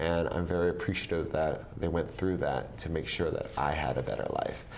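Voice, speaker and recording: Speech moves at a fairly quick pace with very even loudness. Audible room echo surrounds it. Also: man. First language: Vietnamese. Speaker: government official. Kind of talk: interview. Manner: frequent fillers and restarts.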